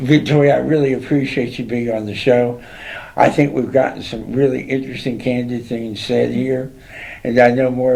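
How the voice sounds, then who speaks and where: Noticeable background noise and audible room echo accompany speech at a moderate pace. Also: man. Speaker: talk show host. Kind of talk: interview chat. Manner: loud.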